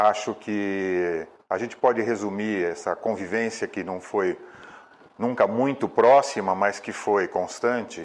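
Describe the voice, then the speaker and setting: A man talks in an ordinary speaking voice with ordinary pitch variation. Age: 60s. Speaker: environmentalist. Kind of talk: video testimonial.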